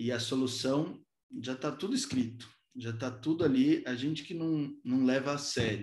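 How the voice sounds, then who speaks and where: Audible room echo surrounds a man speaking at a moderate pace with ordinary pitch variation against a quiet background. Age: 20s. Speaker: politician. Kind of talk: talk to a virtual business breakfast. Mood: earnest, reflective. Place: home room. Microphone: video call.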